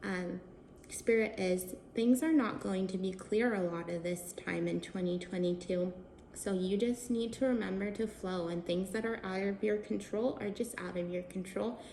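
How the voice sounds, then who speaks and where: Amid noticeable background noise, a woman talks at a medium pitch with ordinary pitch variation. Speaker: tarot reader and wine host. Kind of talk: tarot reading. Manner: slow.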